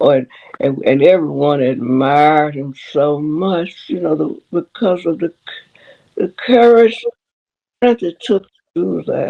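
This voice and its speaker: In a Southern US accent, a woman with a very deep, low pitch and very wide pitch swings speaks at a fairly slow pace, leaving long, frequent pauses. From Memphis, Tennessee. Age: 80s+. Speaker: retired schoolteacher. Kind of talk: interview answer. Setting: video call.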